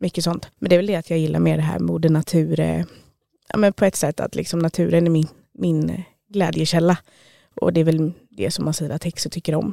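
A woman talks at a fairly quick pace, leaving long, frequent pauses. The sound is dry and close, with no echo. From Stockholm, Sweden. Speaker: self-employed witch and medium. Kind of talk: interview.

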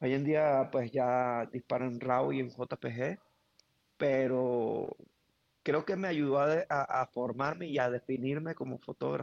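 The sound is dry and close, with no echo. A man speaks very slowly with fairly even intonation. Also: medium pitch for a man. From Venezuela, Caracas. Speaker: wedding photographer, former photojournalist. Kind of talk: interview conversation. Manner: halting, many repetitions.

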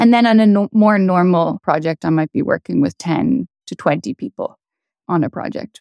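A woman with a Dublin accent talks at a medium pitch and a moderate pace, her intonation lively. The sound is dry and close, with no echo. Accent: Irish (Dublin). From Ireland, Dublin. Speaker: astrophysicist. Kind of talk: interview. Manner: casual, laughing.

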